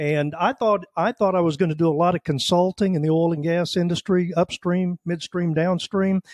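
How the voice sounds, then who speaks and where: On a very clean recording with a silent background and a dry, close sound with no echo, a man with a high pitch and an American accent speaks at a fairly quick pace with fairly even intonation. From Oklahoma. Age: 60s. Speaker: retired army veteran and oilfield business owner. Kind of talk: podcast interview.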